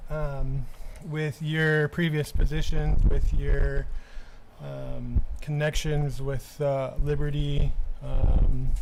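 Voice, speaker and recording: A man talks very slowly, and audible room echo is heard. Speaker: city alderman. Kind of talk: council meeting. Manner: normally loud.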